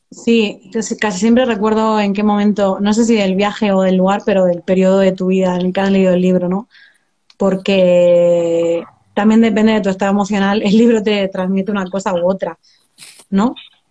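A woman's monotone, flat delivery over a quiet background. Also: medium pitch for a woman, moderate pace. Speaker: book blogger. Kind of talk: casual chat. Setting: live video call. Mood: relaxed, friendly. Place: home room. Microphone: phone; video call.

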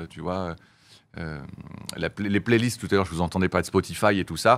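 With ordinary pitch variation, a man speaks in a very deep, low pitch. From France. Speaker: music label boss and former band manager; interview guest. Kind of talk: interview. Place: studio. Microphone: studio mic.

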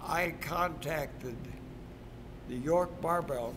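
Noticeable background noise sits behind a man whose pitch varies in an ordinary way. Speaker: retired track coach. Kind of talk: interview answer. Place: gym.

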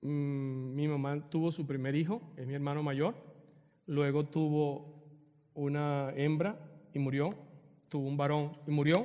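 Against a quiet background, the speech moves at a fairly slow pace with long, frequent pauses. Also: man, fairly high pitch for a man. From Venezuela, Margarita Island; Venezuela. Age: 50s. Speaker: retreat speaker; speaker. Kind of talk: spiritual talk with personal testimony. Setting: church hall with audience. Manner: animated; halting. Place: church.

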